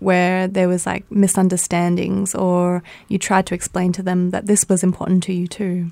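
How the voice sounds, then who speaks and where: Very clean recording, silent background: a woman with a dark, mellow tone speaks at medium pitch and a fairly quick pace, in a monotone, flat delivery. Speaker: podcast host and interviewer. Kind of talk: interview narration and questions.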